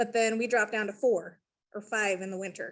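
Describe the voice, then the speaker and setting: This woman has a fairly high pitch and an ordinary speaking voice. She talks with an American accent and fairly even intonation. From US Mountain West, Idaho/Wyoming. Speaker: painting contractor. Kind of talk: video call question. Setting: video call.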